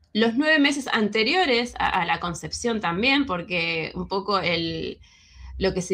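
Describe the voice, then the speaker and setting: This woman's tone is bright and sharp. She speaks at a fairly slow pace. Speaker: alternative health speaker. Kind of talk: lecture.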